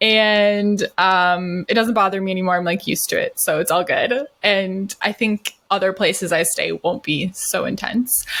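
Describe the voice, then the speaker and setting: In an American accent, a woman talks at a fairly slow pace with medium pitch and ordinary pitch variation. Her tone is bright and sharp. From US Midwest, Wisconsin. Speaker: podcast co-host. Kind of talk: casual chat. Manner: animated.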